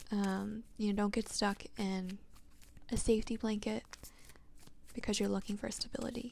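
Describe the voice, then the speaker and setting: A soft-spoken woman talks at a moderate pace with a fairly high pitch. Her voice is somewhat breathy, and she leaves long, frequent pauses. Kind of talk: ASMR-style tarot reading and deck showcase.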